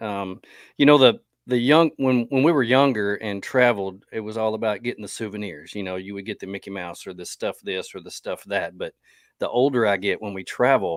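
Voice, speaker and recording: A man speaks in a normal speaking voice, fairly low-pitched and at a fairly quick pace, with ordinary pitch variation and big swings in loudness. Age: middle-aged. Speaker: podcast host. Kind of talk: casual interview chat. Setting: live podcast.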